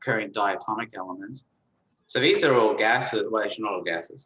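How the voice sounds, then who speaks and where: The speaker talks at a fairly quick pace. Room echo is audible. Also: man. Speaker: chemistry professor. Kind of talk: lecture. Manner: fast.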